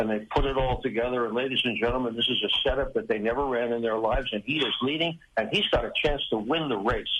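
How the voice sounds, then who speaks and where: Very fast and with hardly any pauses, a man speaks at a medium pitch with ordinary pitch variation over noticeable background noise. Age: 80s+. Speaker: retired motorsports TV pit reporter. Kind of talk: interview.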